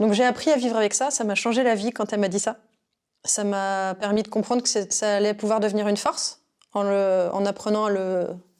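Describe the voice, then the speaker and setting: On a very clean recording with a silent background, a woman speaks at a fairly quick pace and medium pitch, with very even loudness and fairly even intonation. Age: 30s. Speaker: intuitive consultant. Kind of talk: interview. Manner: hesitant, many fillers.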